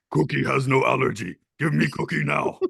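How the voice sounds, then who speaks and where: A man does a raspy, gravelly put-on character voice at a fairly quick pace. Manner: eager, demanding.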